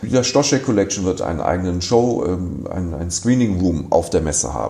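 With noticeable background noise, a man speaks at a moderate pace. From Düsseldorf, Germany. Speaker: art fair director. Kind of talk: interview. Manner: relaxed.

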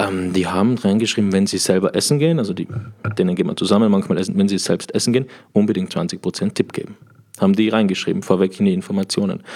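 In an Austrian accent, a man speaks at a very fast pace, his dark, mellow, fairly low voice showing ordinary pitch variation. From Austria, Tyrol. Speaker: sommelier. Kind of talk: casual chat. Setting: hotel room.

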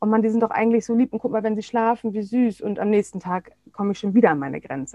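In a plain, everyday voice, a woman speaks fairly high with ordinary pitch variation. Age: 40s. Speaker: parenting coach and psychotherapy practitioner. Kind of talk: interview.

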